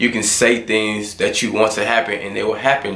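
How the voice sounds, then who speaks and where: A man's moderately paced voice comes through audible room echo and noticeable background noise. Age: 20s. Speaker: motivational vlogger. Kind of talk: motivational monologue. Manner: casual.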